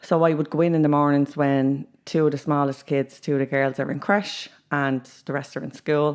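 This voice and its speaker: Against a quiet background, a woman with a Dublin accent talks at a moderate pace in a very deep, low pitch with monotone, flat intonation. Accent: Dublin Irish. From Ireland, Dublin (Ballymun). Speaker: youth worker. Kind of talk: casual chat.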